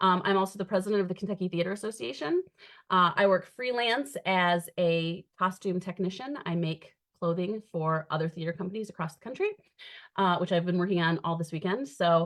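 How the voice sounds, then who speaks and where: A woman with an American accent, medium pitch, ordinary pitch variation and a fairly quick pace. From Michigan, US Midwest. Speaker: costume director and theatre educator. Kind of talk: panel discussion. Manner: fast.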